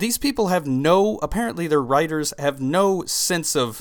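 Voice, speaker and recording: A man's lively intonation at a fairly slow pace, on a very clean recording with a silent background. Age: 20s. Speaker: sports podcast host. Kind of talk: solo sports talk podcast. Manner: conversational with frequent fillers and restarts.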